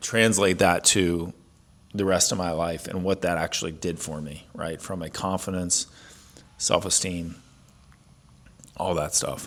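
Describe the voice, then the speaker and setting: The speaker talks fairly slowly in a flat, monotone way. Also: man. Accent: Midwestern American. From US Midwest, Ohio. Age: 40s. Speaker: fitness coach. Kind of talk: personal story monologue. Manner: casual, many fillers.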